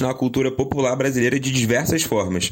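Noticeable background noise sits behind this man's voice. He speaks at a fairly quick pace with a medium pitch. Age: 20s. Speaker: podcast host. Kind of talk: scripted narration.

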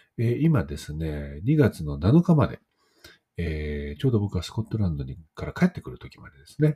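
A man speaks at a moderate pace in a very deep, low voice, somewhat breathy and dark, mellow in tone. His pitch swings very widely and his loudness rises and falls sharply. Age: 40s. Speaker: poet and podcast host. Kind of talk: solo casual talk. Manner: many filler words.

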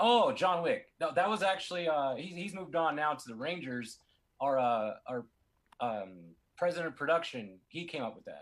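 Speaking at a fairly slow pace, a man uses a fairly high pitch with very wide pitch swings. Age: 30s. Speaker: DJ. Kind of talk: casual interview.

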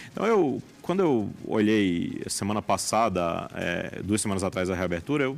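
Music plays in the background as a man talks in a fairly low pitch. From Paraíba, Brazilian Northeast (João Pessoa). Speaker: oncologist and hospital director. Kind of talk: interview. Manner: halting, frequent repetitions.

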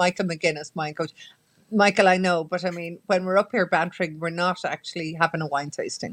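With an Irish accent, a woman talks at a fairly quick pace in a fairly low pitch, her intonation fairly even. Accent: Irish (Mayo). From Ireland, County Mayo. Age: 60s. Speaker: journalist and radio presenter. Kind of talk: casual chat.

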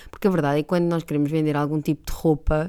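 With a European Portuguese accent, a woman speaks at a fairly low pitch in a dark, mellow tone, captured in a very clean recording with a silent background. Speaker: podcast host. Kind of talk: casual monologue. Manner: animated.

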